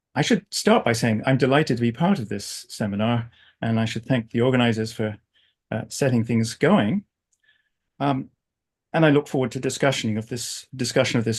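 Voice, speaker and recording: A man speaks at a moderate pace and medium pitch, with ordinary pitch variation over a quiet background. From England. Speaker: philosophy professor. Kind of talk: academic lecture. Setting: video call.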